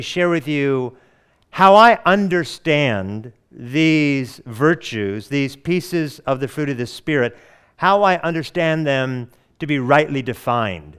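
Speaking with an American accent, a man uses a fairly high pitch and lively intonation. He goes at a very slow pace on a very clean recording with a silent background. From US Pacific Northwest, Oregon. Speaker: pastor. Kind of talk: sermon. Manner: halting.

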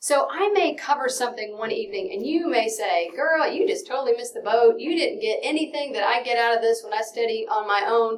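A woman with a slight Texan accent speaks at a fairly quick pace. Her voice is high and swings very widely in pitch. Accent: slight Texan, hardly noticeable. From Texas (Dallas). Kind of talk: Bible study lesson. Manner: fast; animated.

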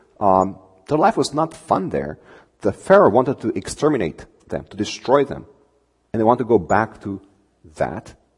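A man with a Romanian accent, with very wide pitch swings and long, frequent pauses. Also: medium pitch for a man, moderate pace. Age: 40s. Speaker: preacher giving a sermon. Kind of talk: sermon. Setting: church with congregation.

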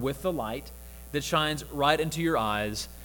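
There's audible room echo as a man with a Southern US accent talks fairly quickly, his intonation lively. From US South, Mississippi (Jackson). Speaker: campus minister. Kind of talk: sermon.

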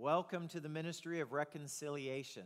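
Moderate pace from a man with a fairly high pitch and a normal speaking voice. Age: 50s. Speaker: pastor. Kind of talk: sermon.

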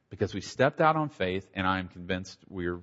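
A man's very deep, low voice with an American accent, at a fairly quick pace. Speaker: pastor. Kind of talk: testimony. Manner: halting, with repeated false starts.

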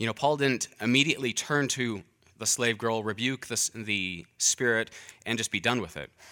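Moderate pace from a man at medium pitch with ordinary pitch variation. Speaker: preacher. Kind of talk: sermon.

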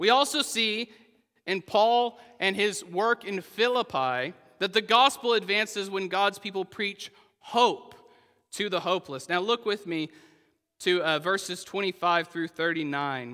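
A man with an American accent speaks fairly slowly in a high, raised and projected voice. His tone is bright and sharp, and his intonation is lively. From Oklahoma. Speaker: pastor. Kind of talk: sermon.

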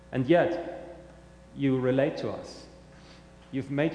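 A man with a German accent, fairly high in pitch, with fairly even intonation and noticeable background noise. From Germany. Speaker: pastor. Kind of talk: sermon. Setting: church.

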